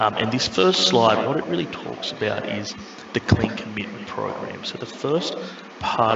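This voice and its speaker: A man speaks at a moderate pace with a medium pitch and an Australian accent. Noticeable background noise and audible room echo surround his voice. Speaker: airline representative. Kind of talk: webinar presentation.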